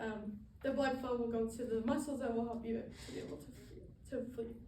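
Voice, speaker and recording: A woman with an American accent speaks at a fairly quick pace amid audible room echo. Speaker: student. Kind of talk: class presentation speech. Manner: fast; halting, many fillers.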